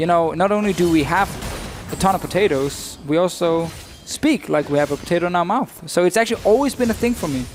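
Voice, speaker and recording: Amid noticeable background noise, the speaker talks at a very fast pace in a Danish accent with lively intonation. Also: man, high pitch for a man. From Denmark. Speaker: esports commentator. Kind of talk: live commentary.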